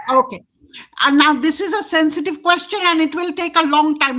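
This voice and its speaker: High-pitched, raised and projected female voice in a Bengali accent, with ordinary pitch variation. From India. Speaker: show host. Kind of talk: interview discussion.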